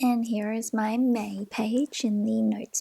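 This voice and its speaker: The speaker goes at a very slow pace with an Australian accent. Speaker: stationery and journaling youtuber. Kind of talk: casual tutorial flip-through.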